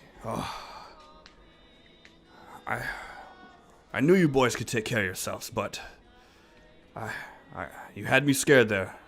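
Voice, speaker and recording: Using a put-on, gruff character voice at a medium pitch, a man talks at a moderate pace with lively intonation, big swings in loudness and long, frequent pauses, while faint music plays in the background. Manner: relieved, warm.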